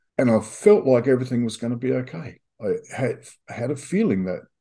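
At a moderate pace, a man with an Australian accent speaks at a medium pitch in a dark, mellow tone. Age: 60s. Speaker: recovering addict. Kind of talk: personal testimony.

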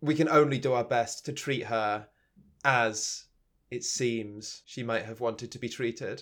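Recorded very cleanly with a silent background, a man with an English accent speaks at a fairly slow pace, his intonation fairly even and his loudness swinging widely. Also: medium pitch for a man. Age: 30s. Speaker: podcast host. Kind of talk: casual chat.

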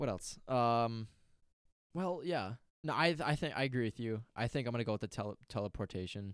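Speaking with an American accent, a man talks at a fairly quick pace with lively intonation, recorded dry and close with no echo, very clean, over a silent background. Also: medium pitch for a man. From Wisconsin. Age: 20s. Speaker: podcast co-host, college student. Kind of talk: casual chat. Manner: halting.

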